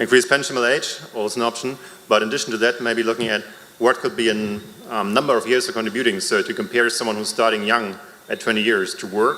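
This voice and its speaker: A man talks very fast with fairly even intonation while noticeable noise runs in the background. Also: medium pitch for a man. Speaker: member of the public at a town hall. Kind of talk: public comment at a town hall meeting. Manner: hesitant, with fillers.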